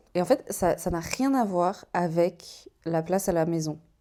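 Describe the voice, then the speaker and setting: Recorded very cleanly against a silent background, a woman talks in a fairly low pitch with a dark, mellow tone. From Switzerland, canton of Vaud. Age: 20s. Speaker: vlogger. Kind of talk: casual vlog chat. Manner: animated.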